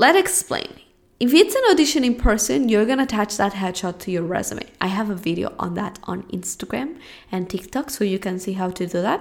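A woman with a Spanish accent speaks at a fairly quick pace and medium pitch, animated in tone with lively intonation. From Spain. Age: 20s. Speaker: podcast host and acting coach. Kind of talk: solo podcast monologue and Q&A.

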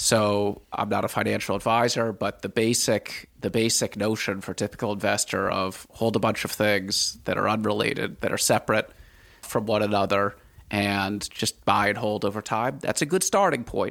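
A man's normal speaking voice with an American accent, fairly low in pitch, with fairly even intonation at a moderate pace, in a very clean recording with a silent background. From Washington, D.C., US. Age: 50s. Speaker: former hedge fund manager, writer and podcaster. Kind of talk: interview.

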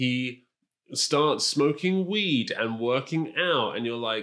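On a very clean recording with a silent background, a man at medium pitch uses lively intonation in an unremarkable speaking voice. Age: 30s. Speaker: podcast co-host. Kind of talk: casual chat. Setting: on a sofa at home.

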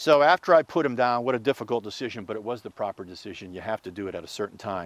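A man with an American accent at a very fast pace, medium pitch and lively intonation, with a dry, close sound, no echo and a very clean recording with a silent background. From Pittsburgh, Pennsylvania. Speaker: sportscaster. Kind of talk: casual interview.

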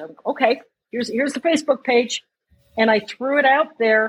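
A woman with a normal speaking voice talks with lively intonation. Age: 60s. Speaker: running group founder and marathon runner. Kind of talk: casual interview.

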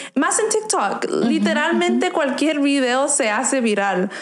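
A woman speaks with very wide pitch swings. Noticeable background noise and audible room echo fill the recording. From Arizona, US. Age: 20s. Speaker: violinist. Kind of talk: interview. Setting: studio.

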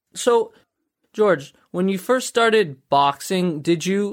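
In a very clean recording with a silent background, a man speaks at a moderate pace. He has a plain, everyday voice with ordinary pitch variation. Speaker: podcast host. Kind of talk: interview conversation.

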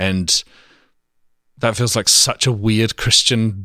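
In a very clean recording with a silent background, a medium-pitched man with an English accent speaks at a very slow pace in a bright, sharp tone. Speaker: pastor's son, ministry worker. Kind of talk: casual interview. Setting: home.

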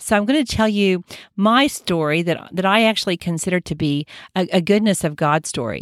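A woman with a medium-pitched voice and an unremarkable speaking voice talks at a fairly quick pace with lively intonation, recorded very cleanly against a silent background with a dry, close sound and no echo. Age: 60s. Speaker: podcast host, doctor. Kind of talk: solo health podcast monologue.

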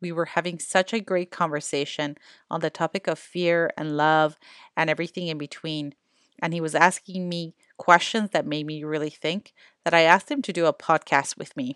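An ordinary speaking voice from a woman at fairly low pitch and a fairly quick pace, with a quiet background and a dry, close sound with no echo. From Canada. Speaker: podcast host and educator. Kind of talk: podcast introduction.

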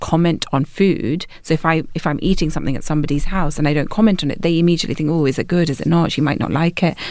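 A woman with a London accent talks at a very fast pace in a fairly low pitch. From London, England. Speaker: chef and author. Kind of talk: casual chat.

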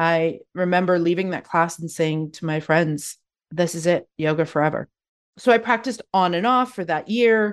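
On a very clean recording with a silent background, a speaker with a Canadian accent and a normal speaking voice talks at a moderate pace with ordinary pitch variation. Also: woman. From Canada, Calgary, Alberta. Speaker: yoga therapist. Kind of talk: interview conversation.

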